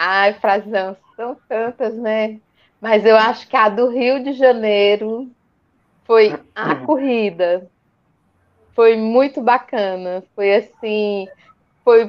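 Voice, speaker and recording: This woman talks at a very slow pace, leaving long, frequent pauses. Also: fairly high pitch for a woman, ordinary pitch variation. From Brazil, Fortaleza. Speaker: amateur runner. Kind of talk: casual live stream chat. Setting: online live stream.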